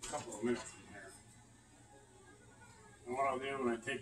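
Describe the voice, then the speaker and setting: A man mumbles his words. Noticeable background noise runs underneath. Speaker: home cook. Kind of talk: casual cooking demo. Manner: mumbling. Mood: relaxed, casual. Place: kitchen. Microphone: phone near.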